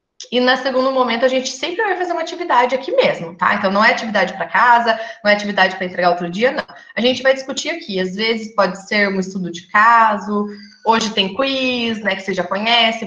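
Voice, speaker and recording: Amid noticeable background noise and audible room echo, a woman talks at a very fast pace in a fairly high pitch with lively intonation. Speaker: nursing lecturer. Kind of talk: online lecture.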